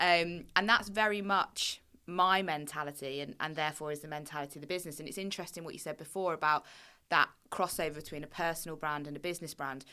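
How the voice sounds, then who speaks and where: Speaking at a very fast pace with a southern English accent, a woman uses a very deep, low pitch, a bright, sharp tone, fairly even intonation and big swings in loudness, all in a very clean recording with a silent background. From southern England. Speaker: marketing agency founder. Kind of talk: podcast interview. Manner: frank, blunt.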